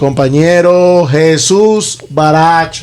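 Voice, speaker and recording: A high-pitched male voice with ordinary pitch variation and audible room echo. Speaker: podcast host. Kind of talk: casual podcast chat.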